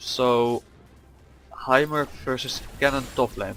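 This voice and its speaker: Over noticeable background noise, a man with a medium pitch speaks with a non-native accent. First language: not English. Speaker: gaming youtuber. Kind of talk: gameplay commentary. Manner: hesitant, many fillers.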